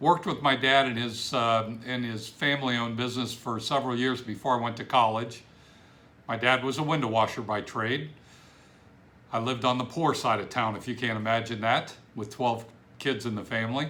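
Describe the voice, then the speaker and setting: With audible room echo, a man speaks at a medium pitch in a bright, sharp tone with fairly even intonation. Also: fairly quick pace. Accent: American. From Ohio, Cleveland area. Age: 60s. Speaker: business coach. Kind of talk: self-introduction video. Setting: home office.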